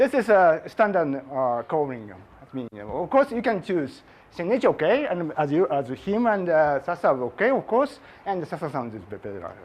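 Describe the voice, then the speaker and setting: A man with a Japanese accent speaks in a high pitch. His pitch swings very widely. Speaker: physics professor. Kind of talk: lecture. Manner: halting; slow.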